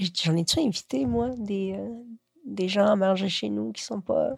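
At a very slow pace, a somewhat breathy voice swings very widely in pitch. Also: woman. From Quebec, moved from Chile at age 7. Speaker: writer. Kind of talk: casual interview. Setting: at home, lying in bed.

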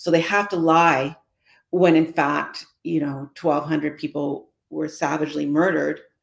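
In a Canadian accent, a woman speaks at a moderate pace with a very deep, low pitch. Her intonation is monotone and flat, with vocal fry. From Canada. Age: 60s. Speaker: former senator and community advocate. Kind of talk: interview.

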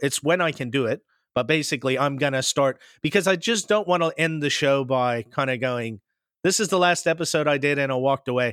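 In a plain, everyday voice, a man with an American accent talks at a fairly quick pace and fairly high pitch with ordinary pitch variation, the sound dry and close with no echo in a very clean recording with a silent background. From US Pacific Northwest, later Midwest. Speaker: podcast host. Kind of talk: casual interview chat.

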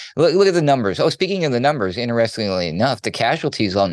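A man of medium pitch talks at a very fast pace with very wide pitch swings. Noticeable background noise runs underneath. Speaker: radio news producer. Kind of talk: news segment, commentary.

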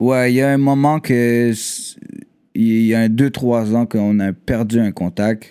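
Very slowly and with long, frequent pauses, a man with a dark, mellow tone and medium pitch speaks with fairly even intonation. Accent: Quebec. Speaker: rapper. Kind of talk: casual chat.

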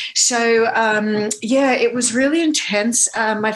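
With an Australian accent, a woman speaks in a fairly high pitch. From Australia, Northern Beaches of Sydney. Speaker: actor and Broadway performer. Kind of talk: casual interview chat. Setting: video call.

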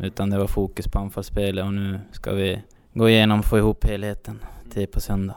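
The delivery is fairly quick. The intonation stays monotone and flat. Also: man, fairly low pitch for a man. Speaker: football team captain. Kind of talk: interview.

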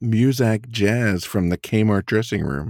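This man speaks very slowly in a fairly low pitch. The recording is very clean with a silent background, and the sound is dry and close with no echo. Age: 40s. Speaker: wrestling podcast co-host. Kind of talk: casual chat. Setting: studio.

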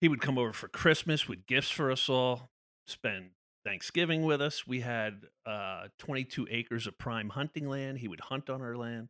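A man with an American accent and a plain, everyday voice, medium pitch, ordinary pitch variation and moderate pace, in a very clean recording with a silent background. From New Jersey. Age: 50s. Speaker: former prisoner sharing recovery story. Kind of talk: testimony. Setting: studio.

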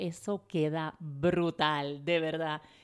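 A woman speaks in an animated tone. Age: 40s. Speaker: podcast host. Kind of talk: motivational podcast monologue.

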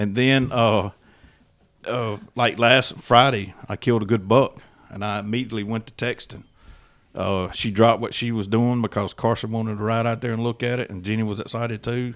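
On a very clean recording with a silent background, a man with a Mississippi accent speaks at a medium pitch and moderate pace in a monotone, flat intonation. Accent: Southern US (Mississippi). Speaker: hunter and hunting club member. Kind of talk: casual chat.

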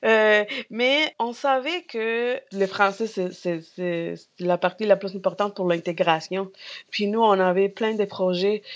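At a very slow pace, a woman with a Spanish accent speaks in a medium pitch that varies in the ordinary way. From Peru. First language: Spanish (speaking French). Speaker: grocery store co-owner. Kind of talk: casual chat. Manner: halting.

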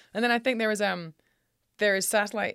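A woman speaks in a Scottish accent. The recording is very clean, with a silent background. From Scotland. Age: 40s. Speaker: rancher. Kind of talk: casual chat.

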